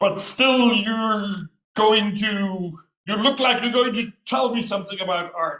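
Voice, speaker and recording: Putting on a character voice, a man speaks high for a man in a raised, projected voice at a fairly slow pace, with ordinary pitch variation. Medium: solo performance. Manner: boastful, condescending.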